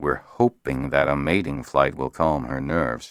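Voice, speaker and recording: Putting on a character voice, a man growls at a moderate pace in a very deep, low pitch. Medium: read story. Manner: wry, teasing.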